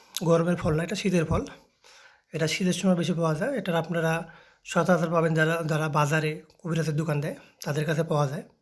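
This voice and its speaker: Fairly even intonation marks this man's high-pitched speech. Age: 30s. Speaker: herbal healer and video channel host. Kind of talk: informal health advice vlog. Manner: halting.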